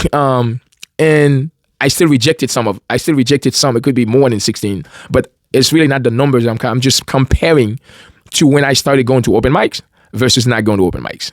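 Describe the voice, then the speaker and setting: A man with a Caribbean accent speaks at a fairly quick pace, with a medium pitch and ordinary pitch variation. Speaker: independent musician and video host. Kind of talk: casual monologue to camera. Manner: halting, many fillers and restarts.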